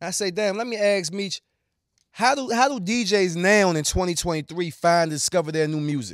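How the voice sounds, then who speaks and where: Captured in a very clean recording with a silent background, a man with an American accent talks at a moderate pace and high pitch. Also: ordinary pitch variation. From Washington DC area. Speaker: podcast host. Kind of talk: casual chat.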